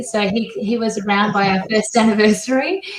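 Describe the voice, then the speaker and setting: A woman with an Australian accent talks at a moderate pace in a fairly high pitch, with noticeable background noise and audible room echo. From Australia, Perth. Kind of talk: interview.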